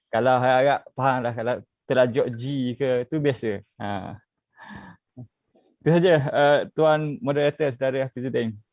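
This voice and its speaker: A man with a slight Terengganu accent, in a dry, close sound with no echo. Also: medium pitch for a man, ordinary pitch variation. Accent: Terengganu Malay dialect, slight. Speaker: youth politician. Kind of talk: online panel discussion. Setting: Facebook live video call. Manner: hesitant, many fillers.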